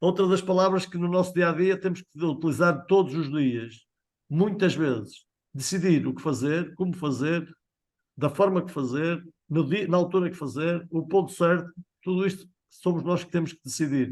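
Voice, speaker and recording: With a European Portuguese accent, a man speaks in a high pitch for a man. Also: ordinary pitch variation, moderate pace. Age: 50s. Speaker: sales trainer. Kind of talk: training session.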